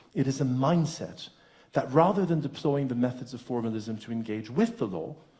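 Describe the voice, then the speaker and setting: Somewhat breathy and dark, mellow in tone, a man speaks at medium pitch. His voice makes very wide pitch swings amid audible room echo. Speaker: law professor. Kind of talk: lecture. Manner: fast.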